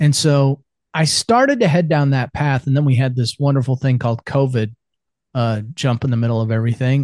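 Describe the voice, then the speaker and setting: Fairly quick and fairly even in intonation, a man with an unremarkable speaking voice talks at a medium pitch in a dry, close sound with no echo. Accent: American. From US Midwest, central Iowa. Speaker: business consultant and men's coach. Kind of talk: casual interview chat.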